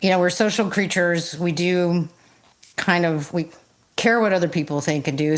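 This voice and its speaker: With an American accent, a woman speaks at a fairly low pitch with ordinary pitch variation. She has an ordinary speaking voice. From US South, South Georgia. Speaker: podcast host. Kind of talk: podcast interview.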